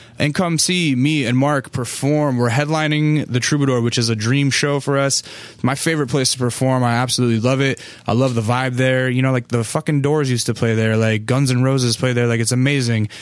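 A man talks fairly quickly at a medium pitch with hardly any pauses. His intonation is fairly even and his loudness very even. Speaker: podcast host. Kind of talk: casual chat; podcast intro monologue. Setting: studio. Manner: relaxed.

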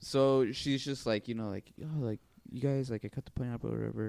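Recorded dry and close with no echo, a man with a medium pitch and ordinary pitch variation speaks in an unremarkable speaking voice at a fairly quick pace. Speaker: podcast co-host. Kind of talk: casual banter.

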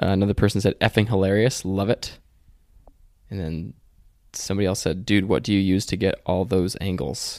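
This man has a fairly low pitch and fairly even intonation, moving at a fairly quick pace broken by long, frequent pauses, in a very clean recording with a silent background. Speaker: podcast host. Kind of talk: casual chat.

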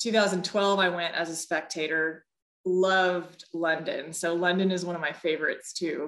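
With an American accent and an ordinary speaking voice, a woman talks at a moderate pace and fairly low pitch, keeping her intonation fairly even. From Texas. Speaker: former Olympic athlete. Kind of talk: interview testimony. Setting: video call.

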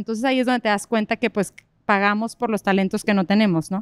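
A woman with a normal speaking voice talks at a fairly quick pace in a fairly high pitch and fairly even intonation, recorded very cleanly against a silent background with a dry, close sound and no echo. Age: 30s. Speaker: entrepreneur, salon owner and hairstylist. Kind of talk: live interview before an audience. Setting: stage with audience in a park.

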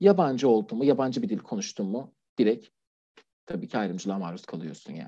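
A man with a slight non-native accent talks at a fairly quick pace in a medium pitch and dark, mellow tone, with very wide pitch swings and big swings in loudness. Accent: near-native Turkish, little foreign. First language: Persian (speaking Turkish). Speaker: LGBT+ refugee, anonymous guest. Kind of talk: interview testimony. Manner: formal; hesitant, many fillers.

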